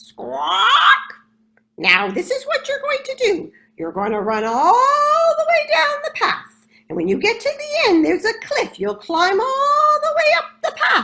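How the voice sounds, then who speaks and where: Using a put-on character voice, a woman talks at a fairly slow pace in a squeaky, extremely high pitch. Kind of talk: storytelling. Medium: read story. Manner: punctuated by squawks.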